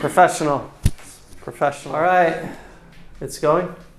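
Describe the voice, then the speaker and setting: A man with an American accent talks against noticeable background noise. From United States. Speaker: English teacher. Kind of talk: casual English lesson dialogue.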